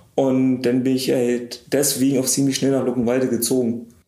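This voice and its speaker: Fairly quick speech from a man at medium pitch, amid noticeable background noise and audible room echo. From Potsdam area, Brandenburg. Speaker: pharmaceutical production manager. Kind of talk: interview. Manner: casual.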